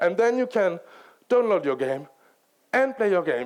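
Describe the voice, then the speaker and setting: A man speaks with a French accent. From France. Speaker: game writer and director. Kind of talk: conference talk.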